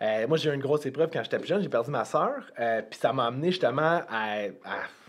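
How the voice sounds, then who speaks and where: A man with a Quebec accent, fairly high-pitched, very fast, with lively intonation. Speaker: health and fitness coach. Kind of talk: casual podcast discussion.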